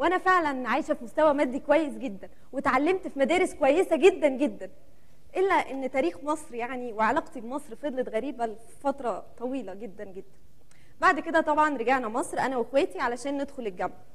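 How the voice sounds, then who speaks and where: A woman talks at a moderate pace with a high pitch. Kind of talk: theatrical personal monologue. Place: stage. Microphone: lapel.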